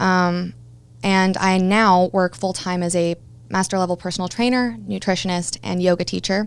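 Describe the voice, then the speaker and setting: Recorded very cleanly against a silent background, a woman with a Midwestern American accent talks at a medium pitch with ordinary pitch variation. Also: moderate pace. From Kansas City area, US Midwest. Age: 20s. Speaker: personal trainer and yoga teacher, former radio DJ. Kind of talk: interview, personal testimony.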